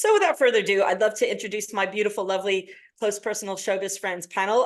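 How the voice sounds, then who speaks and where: A woman's medium-pitched, animated voice with an American accent and ordinary pitch variation. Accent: American accent, living in Britain. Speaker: panel moderator. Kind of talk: webinar panel introduction. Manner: animated, filler-heavy.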